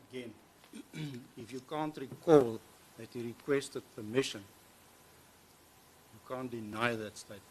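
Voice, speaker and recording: A soft-spoken man talks with long, frequent pauses. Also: medium pitch for a man, fairly even intonation, moderate pace. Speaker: prosecutor cross-examining witness. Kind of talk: courtroom cross-examination. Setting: courtroom.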